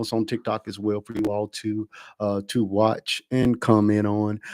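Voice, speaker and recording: A man speaks at a medium pitch in a very clean recording with a silent background, the sound dry and close with no echo. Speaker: livestream talk show host. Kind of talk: livestream show intro. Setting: TikTok live stream. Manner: loud; filler-heavy, hesitant.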